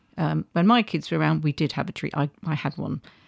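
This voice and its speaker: Vocal fry marks a woman's voice, recorded dry and close with no echo on a very clean recording with a silent background. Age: 50s. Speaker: podcast co-host. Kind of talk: casual chat. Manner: halting.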